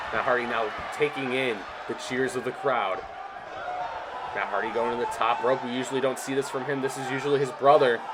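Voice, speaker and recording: The speech moves at a fairly quick pace with very wide pitch swings over noticeable background noise. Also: man. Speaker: video game commentator. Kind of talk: live commentary. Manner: animated.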